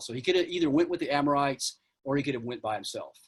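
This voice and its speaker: Here a man speaks at a fairly high pitch. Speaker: archaeology lecturer. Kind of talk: lecture. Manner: fast.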